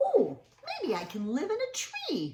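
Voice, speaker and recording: A put-on character voice, extremely high-pitched, at a fairly slow pace. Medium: read story.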